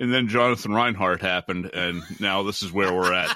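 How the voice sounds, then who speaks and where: A man talks in an American accent with an ordinary speaking voice and ordinary pitch variation. The recording is very clean, with a silent background. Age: 50s. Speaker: wargaming podcaster. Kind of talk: casual chat.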